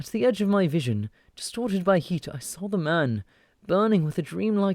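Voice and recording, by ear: The intonation is lively. Someone is reading aloud in a natural voice.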